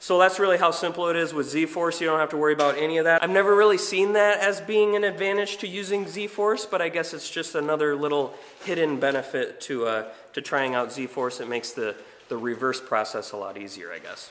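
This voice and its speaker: A man speaks with a high pitch and lively intonation at a fairly quick pace. Light background noise is audible. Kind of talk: tutorial. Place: garage. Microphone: camera far.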